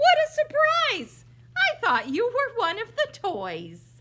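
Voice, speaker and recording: In a put-on character voice, a woman sounds squeaky at an extremely high pitch. She moves at a fairly slow pace with very wide pitch swings. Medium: read story. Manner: jolly, chuckling.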